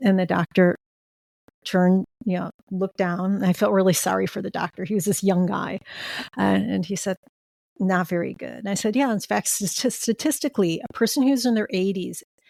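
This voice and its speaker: A woman with a plain, everyday voice, medium pitch, ordinary pitch variation and a fairly quick pace, in a dry, close sound with no echo. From US Midwest, Chicago. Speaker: end of life doula. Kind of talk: interview conversation.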